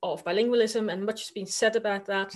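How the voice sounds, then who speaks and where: A woman with a Dutch accent speaks very fast at a fairly high pitch, her intonation fairly even, over a quiet background. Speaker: university lecturer. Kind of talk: conference presentation. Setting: virtual conference.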